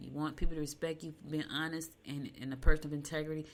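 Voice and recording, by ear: Fast and low-pitched, a woman speaks with little pitch movement.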